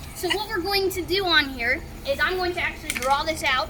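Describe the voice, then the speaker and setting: Over noticeable background noise, a woman talks in a raised, projected voice at a fairly quick pace with ordinary pitch variation. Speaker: high school agriculture teacher. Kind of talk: tutorial.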